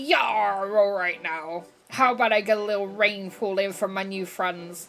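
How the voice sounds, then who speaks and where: A female-sounding voice puts on a character act at medium pitch for a woman. The pace is moderate. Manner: playful, put on.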